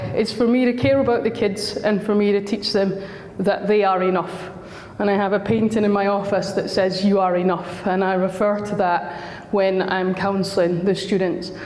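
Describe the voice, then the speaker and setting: Woman with a Scottish accent at medium pitch and a moderate pace, monotone and flat in intonation, very even in loudness, with audible room echo and noticeable background noise. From Scotland. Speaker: school counsellor. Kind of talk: talk to parents.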